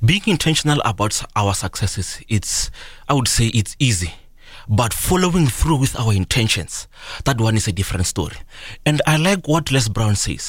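A man's somewhat breathy, medium-pitched voice at a moderate pace, with very wide pitch swings and very even loudness. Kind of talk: motivational pep talk. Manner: earnest, rousing, exhorting the listener to act.

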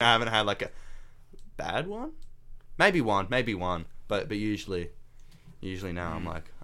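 With an Australian accent and a bright, sharp tone, a man talks at a fairly quick pace broken by long, frequent pauses, his pitch varying in an ordinary way and his loudness swinging widely, with audible room echo around him. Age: young. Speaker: podcast co-host. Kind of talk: casual chat.

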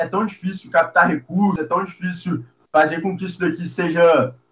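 This man's voice sits at a high pitch. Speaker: university student and social entrepreneur. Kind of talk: casual interview.

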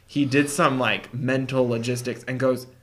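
Amid noticeable background noise and audible room echo, a man with a medium-pitched voice talks at a fairly slow pace. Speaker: podcast co-host. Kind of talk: casual chat.

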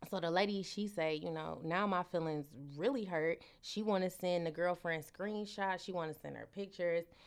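A woman speaks at a moderate pace with an animated tone. Her pitch sits fairly low. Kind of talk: casual chat.

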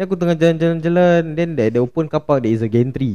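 A man's dark, mellow tone with lively intonation. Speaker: podcast host. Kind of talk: casual chat. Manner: animated.

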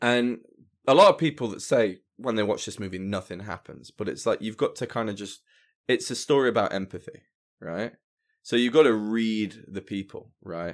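Recorded very cleanly with a silent background, a man at medium pitch uses an ordinary speaking voice, a moderate pace, ordinary pitch variation and big swings in loudness. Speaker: musician. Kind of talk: casual chat. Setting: studio.

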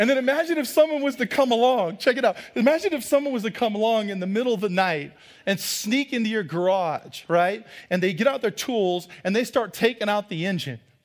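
The tone is animated, with lively intonation and a fairly quick pace. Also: man, high pitch for a man, very clean recording, silent background. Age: 40s. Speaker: pastor. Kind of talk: sermon. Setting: church.

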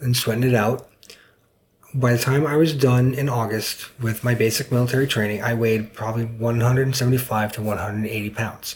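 A man with an American accent speaks at a moderate pace in a medium pitch. His voice is somewhat breathy, with flat, monotone intonation. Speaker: military veteran. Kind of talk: interview. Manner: hesitant, many fillers.

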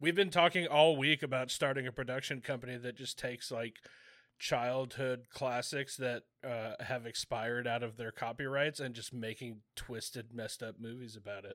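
A man with an ordinary speaking voice talks at a moderate pace and medium pitch, his intonation fairly even. His loudness swings widely, on a very clean recording with a silent background. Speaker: podcast host. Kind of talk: casual banter. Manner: joking, playful.

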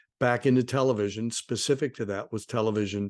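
Against a quiet background, a man with a US Midwestern accent talks in a fairly low pitch with fairly even intonation. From Ohio, US Midwest. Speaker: documentary producer. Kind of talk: interview. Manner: halting.

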